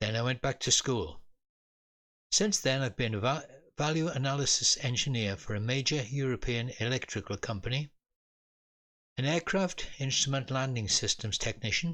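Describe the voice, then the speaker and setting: Speaking with a British accent, a man talks at a moderate pace and medium pitch. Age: 80s+. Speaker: retired engineer and storyteller. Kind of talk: humorous personal memoir storytelling.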